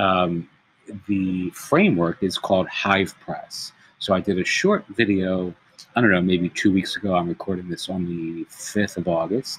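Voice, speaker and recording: A quiet voice holds a monotone, flat intonation at a moderate pace. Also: man, very deep, low pitch for a man. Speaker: tech tutorial creator. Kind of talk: tutorial. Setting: public place. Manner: quiet, low voice; hesitant, many fillers.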